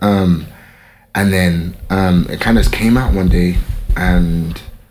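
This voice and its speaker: A man's very deep, low voice with a London accent, at a very slow pace, over noticeable background noise. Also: ordinary pitch variation. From London, England. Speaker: fashion model. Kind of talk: casual interview chat.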